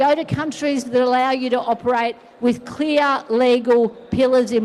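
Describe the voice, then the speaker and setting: A woman with an Australian accent speaks at a high pitch. There is noticeable background noise. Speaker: conference speaker, regulatory adviser. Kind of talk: conference talk.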